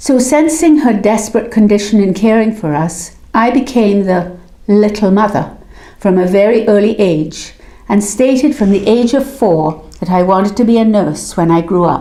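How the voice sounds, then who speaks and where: Lively intonation from a woman at medium pitch, moderate pace and very even loudness, with audible room echo. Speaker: memoir narrator. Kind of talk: reading aloud of personal memoir.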